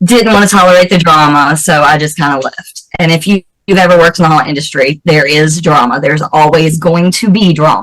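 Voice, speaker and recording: A woman speaks at a moderate pace in a Southern US accent, her very deep, low voice moving with ordinary pitch variation. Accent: Southern American. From US South, North Carolina. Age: 40s. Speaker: special effects makeup artist and actress. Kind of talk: interview.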